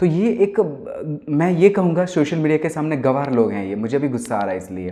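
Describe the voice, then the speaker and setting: Speaking with a Gujarati accent, a man with a fairly high pitch talks at a moderate pace with very wide pitch swings. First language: Gujarati (speaking Hindi). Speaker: singer-songwriter. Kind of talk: casual talk to camera. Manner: animated.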